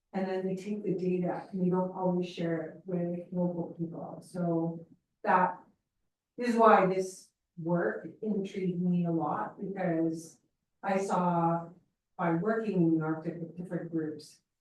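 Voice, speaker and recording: A woman speaks at a fairly slow pace with a Canadian accent. There is audible room echo. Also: fairly low pitch for a woman, fairly even intonation. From northern British Columbia, Canada. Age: 60s. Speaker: audience member. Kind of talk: audience Q&A comment. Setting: talk night with audience.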